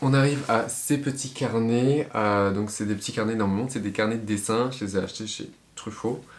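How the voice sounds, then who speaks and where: Here a man speaks at medium pitch and a moderate pace. His intonation stays fairly even. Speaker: medical student vlogger. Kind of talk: casual tutorial vlog. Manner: hesitant with many fillers.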